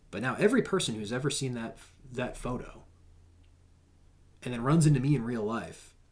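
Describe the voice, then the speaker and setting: A man speaks at a medium pitch with ordinary pitch variation. Audible room echo can be heard. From New Hampshire, US. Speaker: content creator and veteran. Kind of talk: podcast interview. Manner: casual, halting with fillers.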